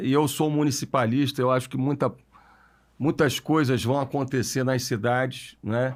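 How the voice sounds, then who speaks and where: Pitched at a medium level, a man talks in an unremarkable speaking voice. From Brazil, Niterói (Rio de Janeiro state). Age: 40s. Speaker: mayor, politician. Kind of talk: podcast interview.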